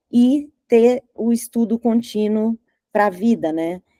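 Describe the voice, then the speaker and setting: Dark, mellow tone from a woman, dry and close-miked with no echo. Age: 60s. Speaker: advertising strategist. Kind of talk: talk presentation.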